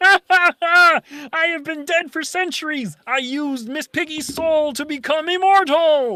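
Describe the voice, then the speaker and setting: The speaker does a put-on character voice at a high pitch. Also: fairly slow pace. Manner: terrifying, menacing.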